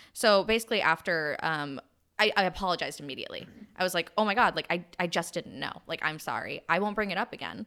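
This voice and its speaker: A woman at a medium pitch with a bright, sharp tone, ordinary pitch variation and a very fast pace, on a very clean recording with a silent background. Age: 30s. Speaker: podcast host and influencer. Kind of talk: casual chat.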